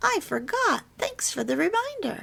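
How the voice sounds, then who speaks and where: A woman's put-on character voice, squeaky and extremely high in pitch, at a moderate pace. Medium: read story.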